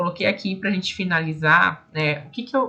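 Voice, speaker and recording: Lively intonation marks this woman's bright, sharp voice, set at medium pitch and delivered at a moderate pace. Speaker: speech therapist and online course teacher. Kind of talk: online lecture ending in a sales pitch.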